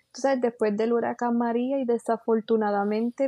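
In a Puerto Rican accent, a woman speaks at a fairly high pitch with monotone, flat intonation. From western Puerto Rico (San Sebastián, Moca). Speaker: coffee educator. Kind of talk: interview. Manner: halting, many fillers.

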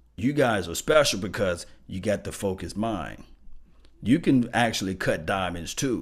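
Very animated, a man with a Mississippi accent and fairly low pitch speaks at a moderate pace with lively intonation on a very clean recording with a silent background. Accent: US Southern (Mississippi). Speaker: sports fan channel host. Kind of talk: motivational monologue to viewers.

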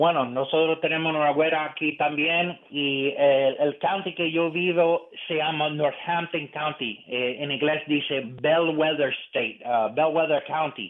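Speaking at a fairly slow pace with hardly any pauses, a man with an American accent holds fairly even intonation at a fairly high pitch. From eastern Pennsylvania, US. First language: English (speaking Spanish). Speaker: conservative political analyst. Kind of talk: radio interview. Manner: halting.

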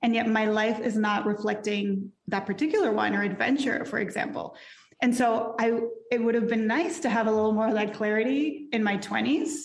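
Audible room echo surrounds a woman with a fairly high pitch who speaks at a moderate pace, with ordinary pitch variation and very even loudness. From Mexico. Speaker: life and career coach. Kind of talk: casual interview.

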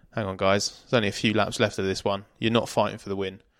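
The recording is very clean, with a silent background. A man speaks in a monotone, flat intonation. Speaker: motorsport journalist. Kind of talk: casual chat. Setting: Airbnb room late at night.

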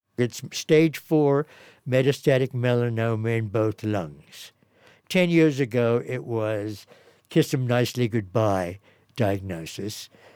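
Speaking very slowly, a man with a medium-pitched voice uses lively intonation on a very clean recording with a silent background. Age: 70s. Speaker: doctor and jazz pianist. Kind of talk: interview.

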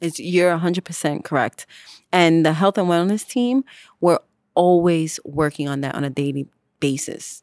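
A woman speaks in a plain, everyday voice, fairly low for a woman, with ordinary pitch variation at a fairly slow pace. The recording is very clean with a silent background and a dry, close sound with no echo. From New York City, the Bronx. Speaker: police officer. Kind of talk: interview.

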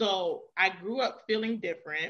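In a New York accent, a woman speaks with a bright, sharp tone. Her pitch is fairly high and her intonation lively. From New York (Queens). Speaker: author and writing coach. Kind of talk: casual interview.

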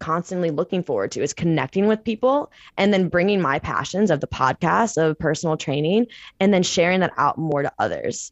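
At a moderate pace, a woman with a plain, everyday voice and an American accent speaks at a medium pitch with lively intonation. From Missouri, St. Louis. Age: 20s. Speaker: personal trainer and meditation coach. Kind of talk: casual chat.

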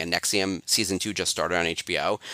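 With a very deep, low pitch and a bright, sharp tone, a man is heard in a dry, close sound with no echo on a very clean recording with a silent background. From New York. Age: 40s. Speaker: apparel brand manager. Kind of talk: podcast interview. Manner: hesitant with filler words.

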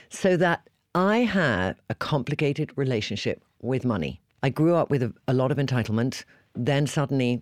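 Lively intonation runs through an unremarkable speaking voice at a moderate pace, with very even loudness. The recording is very clean, with a silent background and a dry, close sound with no echo. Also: man, medium pitch for a man. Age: 50s. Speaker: podcast host. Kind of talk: casual chat.

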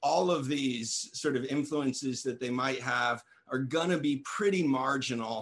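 In a normal speaking voice, the words come at a fairly slow pace with very even loudness and ordinary pitch variation. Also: man. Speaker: cannabis grower, light tester. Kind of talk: casual panel chat. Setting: live stream video call.

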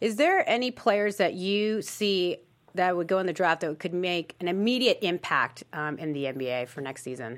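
A woman's normal speaking voice at a medium pitch, with lively intonation and a moderate pace. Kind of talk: casual panel chat. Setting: studio.

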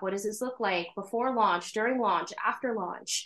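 With an American accent and a normal speaking voice, a woman talks at a moderate pace with a fairly high pitch and ordinary pitch variation. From New York State. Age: 30s. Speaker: drag king and business administrator. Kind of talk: casual interview chat.

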